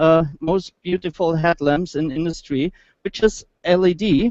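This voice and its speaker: A German accent at a fairly slow pace, with ordinary pitch variation and a dry, close sound with no echo. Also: man. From Germany. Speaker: automotive engineer. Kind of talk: product presentation. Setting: motor show stage. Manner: halting.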